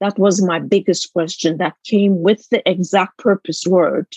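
In a Turkish accent, a woman speaks at a moderate pace with a dry, close sound and no echo. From Istanbul, Turkey. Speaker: author and business consultant. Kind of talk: interview conversation.

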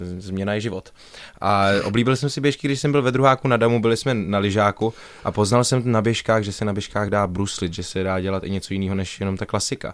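Speaking at a fairly quick pace, a man with a plain, everyday voice has a fairly low pitch and ordinary pitch variation. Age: 20s. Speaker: stage actor. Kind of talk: radio interview. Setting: radio studio.

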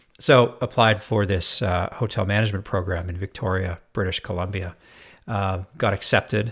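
A man with a Canadian accent, a fairly low pitch and an unremarkable speaking voice, at a moderate pace with fairly even intonation, in a very clean recording with a silent background. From Canada, Edmonton, Alberta. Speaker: hotel operations consultant. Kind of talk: casual interview chat.

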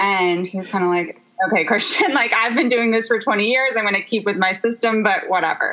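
Against noticeable background noise, a woman with an American accent and a fairly high pitch talks at a fairly quick pace. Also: ordinary pitch variation. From US South, Memphis, Tennessee. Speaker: interior designer. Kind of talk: casual chat.

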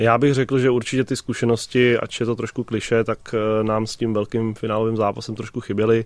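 Over a quiet background, a man talks at a fairly quick pace in a medium pitch with monotone, flat intonation. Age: 30s. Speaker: floorball goalkeeper. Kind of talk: radio interview. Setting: radio studio. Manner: hesitant, many fillers.

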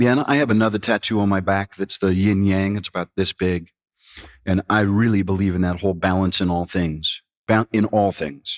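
With an ordinary speaking voice, a man talks at a moderate pace in a fairly low pitch with fairly even intonation, in a very clean, dry, close recording with a silent background and no echo. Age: 50s. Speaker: singer-songwriter and musician. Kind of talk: casual interview chat.

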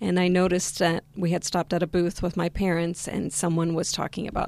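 A woman with an American accent talks at a fairly quick pace and fairly low pitch in a plain, everyday voice. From West Virginia, US, in a Spanish-speaking Argentine family. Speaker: vegan diet success story guest. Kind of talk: interview.

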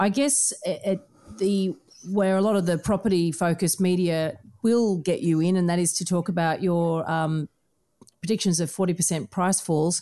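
A woman with an Australian accent, fairly low-pitched, with a dark, mellow tone, very even loudness, moderate pace and ordinary pitch variation. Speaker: podcast host and buyer's agent. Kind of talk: interview.

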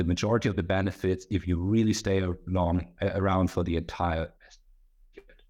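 This man speaks with a German accent in a very deep, low pitch. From Germany. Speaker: lawyer. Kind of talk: casual chat.

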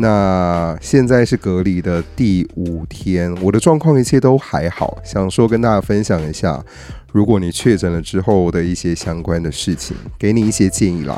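Very deep and low in pitch, a man speaks at a moderate pace with ordinary pitch variation against noticeable background noise. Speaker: podcast host. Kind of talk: casual solo monologue. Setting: at home, isolating.

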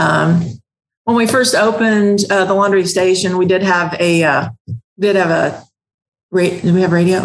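A woman speaks with a slight Ozark accent at a fairly slow pace. Her pitch is medium and her intonation fairly even. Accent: slight Ozark twang. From US South, southwest Missouri (Ozarks). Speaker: laundromat owner. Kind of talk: interview.

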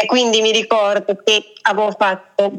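A woman speaks at a moderate pace with a medium pitch. It is a plain, everyday voice. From Italy. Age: 30s. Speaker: travel blogger. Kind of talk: casual interview. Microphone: voice echoes back, sounds metallic.

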